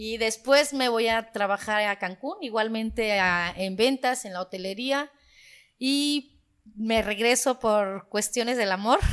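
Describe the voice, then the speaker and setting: A woman speaks at a very slow pace with ordinary pitch variation. The recording is very clean, with a silent background. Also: fairly high pitch for a woman. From Guerrero, Mexico (Sierra Baja). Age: 30s. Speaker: local political candidate. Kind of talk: podcast interview.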